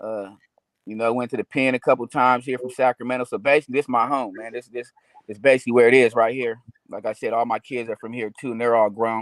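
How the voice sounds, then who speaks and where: An American-accented man talks at a very fast pace at a medium pitch, in a monotone, flat intonation with big swings in loudness, the sound dry and close with no echo. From Seaside, California (Monterey County). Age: 40s. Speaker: former prisoner, guest. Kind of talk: interview, casual talk.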